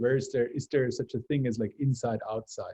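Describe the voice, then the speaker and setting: A man's somewhat breathy, dark, mellow voice in a Bavarian accent, medium in pitch with ordinary pitch variation. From Bavaria, Germany. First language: German. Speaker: research lab leader. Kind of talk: academic seminar discussion. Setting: video call.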